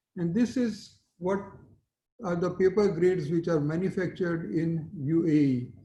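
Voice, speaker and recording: High-pitched male voice with a dark, mellow tone and ordinary pitch variation, fairly slow in pace, with audible room echo. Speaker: conference panelist, paper recycling company representative. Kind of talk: conference presentation. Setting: virtual conference.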